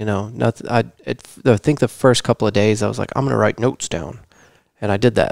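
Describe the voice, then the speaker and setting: A man with an American accent speaks at a very fast pace and a fairly low pitch, with vocal fry, ordinary pitch variation, and long, frequent pauses, in a dry sound with no echo over a quiet background. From Texas. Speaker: podcast host. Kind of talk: casual chat. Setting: home living room. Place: studio. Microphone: headset.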